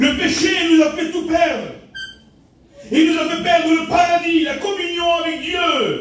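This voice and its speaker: Loud and at an extremely high pitch, a man speaks at a fairly slow pace with long, frequent pauses. Audible room echo surrounds him. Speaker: pastor. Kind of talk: sermon. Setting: church. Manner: animated.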